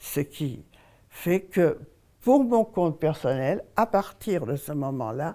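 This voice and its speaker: In a very clean recording with a silent background, a woman speaks very slowly with a very deep, low pitch, a dark, mellow tone and very wide pitch swings. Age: 80s+. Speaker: elderly woman telling her life story. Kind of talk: testimony.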